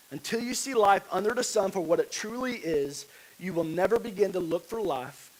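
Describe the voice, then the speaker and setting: A man speaks at a fairly quick pace with lively intonation. Noticeable background noise is present. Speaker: pastor. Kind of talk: sermon.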